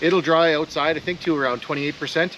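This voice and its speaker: A man speaks over noticeable background noise. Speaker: DIY woodworking YouTuber. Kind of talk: casual DIY vlog tutorial.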